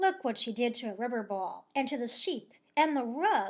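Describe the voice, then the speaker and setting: Putting on a character voice, a woman with a high pitch uses very wide pitch swings at a moderate pace. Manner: angry.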